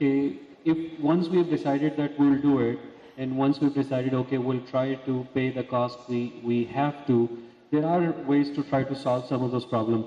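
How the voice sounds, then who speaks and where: Speech with fairly even intonation plays over noticeable background noise. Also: man, medium pitch for a man. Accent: non-native. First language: not English. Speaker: physician. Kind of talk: panel discussion. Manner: fast.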